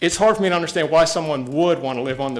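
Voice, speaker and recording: Pitched fairly high, a man talks in an ordinary speaking voice whose pitch variation is ordinary. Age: 60s. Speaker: public commenter at county meeting. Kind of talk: public comment speech. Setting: county commission meeting room.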